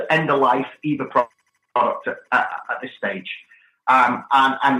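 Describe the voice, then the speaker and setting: This man has a British accent. His pace is moderate. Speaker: technology executive. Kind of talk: podcast interview. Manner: halting.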